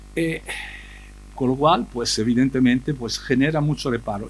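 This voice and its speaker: A man with an Italian accent at a fairly slow pace. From Italy. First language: Italian (speaking Spanish). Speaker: refrigeration engineer. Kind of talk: conference talk. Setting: seminar with audience. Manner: hesitant, many fillers.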